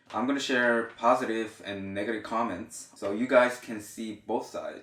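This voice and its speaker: Speaking in a Korean accent at a moderate pace, a man holds a medium pitch and monotone, flat intonation while his loudness swings widely. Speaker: YouTuber. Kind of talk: reading aloud. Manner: halting.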